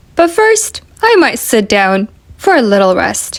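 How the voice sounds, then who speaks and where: The speaker is a woman using a put-on character voice. She pitches it high. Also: fairly slow pace. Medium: read story. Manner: slow, mild, drowsy.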